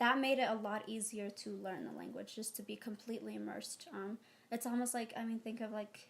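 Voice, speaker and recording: With an Ethiopian accent, a woman talks at a fairly quick pace in a fairly high pitch. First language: Amharic. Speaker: interviewee, adoptee. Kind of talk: casual interview. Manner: hesitant, many fillers.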